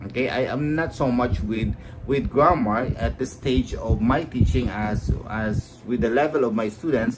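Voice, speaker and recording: With a Filipino accent and vocal fry, a man speaks at a fairly slow pace, his medium pitch showing ordinary variation. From Philippines. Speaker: high school teacher. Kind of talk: lecture. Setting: live stream. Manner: halting.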